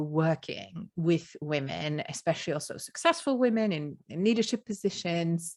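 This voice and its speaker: The speaker has a Luxembourgish accent. The pace is fairly slow. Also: woman. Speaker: podcast host, business coach. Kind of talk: interview.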